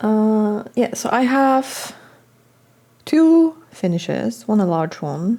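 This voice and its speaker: With a Polish accent, a woman speaks at a medium pitch and with lively intonation over noticeable background noise. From Poland, countryside. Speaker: cross-stitch designer and video blogger. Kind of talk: casual monologue to camera.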